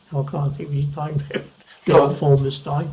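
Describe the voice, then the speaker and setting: Over noticeable background noise, a man with an Essex accent speaks at a fairly high pitch. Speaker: retired newspaper printer. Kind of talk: interview answer. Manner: soft-spoken.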